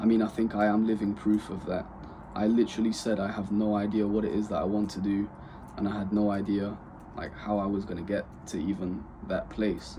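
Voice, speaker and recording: A man's dark, mellow tone, fairly low in pitch, with monotone, flat intonation. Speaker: vlogger starting an e-commerce business. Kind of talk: personal vlog talking to camera. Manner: monotonous.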